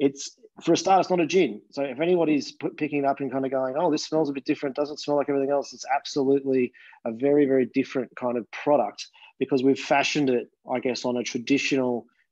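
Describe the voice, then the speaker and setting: A man with an Australian accent speaks very fast at a fairly high pitch. His intonation is fairly even against a quiet background. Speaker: gin distiller. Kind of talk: casual chat. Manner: soft-spoken.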